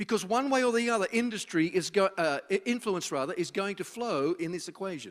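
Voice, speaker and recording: Lively intonation marks this man's speech in an Australian accent at a moderate pace. The recording is very clean, with a silent background. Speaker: social futurist, speaker. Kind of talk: public talk to students. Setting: university event with live audience.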